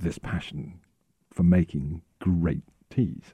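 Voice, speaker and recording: With an English accent, a man speaks in a dark, mellow tone. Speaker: tea company representative. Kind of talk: interview.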